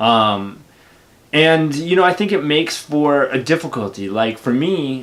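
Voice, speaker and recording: This man's intonation is lively. He keeps to a moderate pace. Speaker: YouTuber. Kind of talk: casual monologue. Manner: outspoken.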